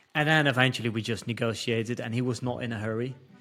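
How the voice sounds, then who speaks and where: The voice is bright and sharp, in a Dutch accent. The pace is very fast. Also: man. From Netherlands. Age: 30s. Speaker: entrepreneur. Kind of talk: casual interview. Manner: halting.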